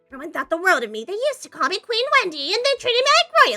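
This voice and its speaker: A woman's put-on character voice, extremely high in pitch with very wide swings, at a very fast pace over faint background music. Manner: ranting, proud, boastful.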